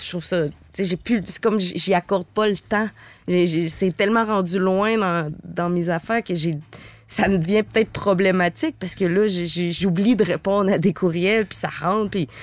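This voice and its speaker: A woman's medium-pitched, fairly even delivery at a fairly slow pace, a plain, everyday voice. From Quebec, Stoneham near Quebec City. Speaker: contemporary dancer and body percussion artist. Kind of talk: casual interview chat.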